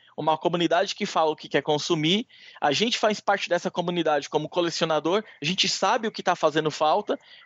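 The pace of this man is very fast. His pitch variation is ordinary. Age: 30s. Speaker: magazine editor and publisher. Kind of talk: interview. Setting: phone call. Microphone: low call quality with interference noise.

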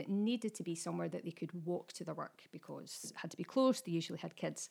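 A woman at a very fast pace, lively intonation and vocal fry throughout. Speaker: writer and teacher. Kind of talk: casual chat.

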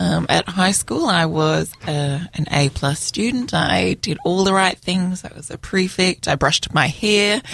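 In an Australian accent, a woman with a fairly low pitch speaks at a fairly slow pace, with hardly any pauses and lively intonation. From Australia, Sydney. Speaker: mother of a newborn. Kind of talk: casual chat. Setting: studio.

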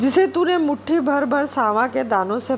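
A woman's pitch swings very widely as she talks. Noticeable background noise sits behind her. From India, Madhya Pradesh (Bhopal). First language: Bengali (speaking Hindi). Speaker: guest reader. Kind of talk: reading aloud.

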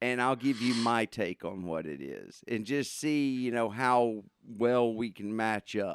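A man with a plain, everyday voice at medium pitch, ordinary pitch variation, a fairly slow pace with hardly any pauses, on a very clean recording with a silent background. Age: 40s. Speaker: podcast host. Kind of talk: casual chat.

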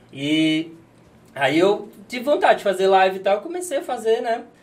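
The man's voice sits high in pitch. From Natal, Brazilian Northeast. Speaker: chiropractor and streamer. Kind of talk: casual chat.

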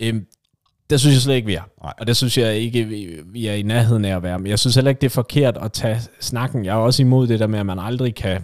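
A man at a medium pitch rushes through his words very fast, his pitch rising and falling in an ordinary way. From West Jutland, Denmark. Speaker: football podcast co-host. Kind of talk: casual chat.

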